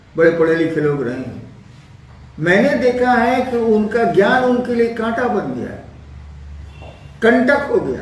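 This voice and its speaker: Extremely high-pitched for a man, this male voice has lively intonation, with audible room echo and noticeable background noise. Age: 70s. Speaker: spiritual teacher. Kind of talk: spiritual discourse answering questions.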